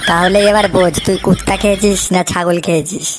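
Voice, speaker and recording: A woman puts on a cartoonish character voice at a medium pitch, talking at a moderate pace with monotone, flat intonation. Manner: crude, swearing.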